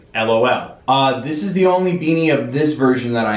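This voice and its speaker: Male speech with ordinary pitch variation and audible room echo. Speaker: video creator. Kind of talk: casual Q&A vlog chat. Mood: upbeat, playful. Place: home room.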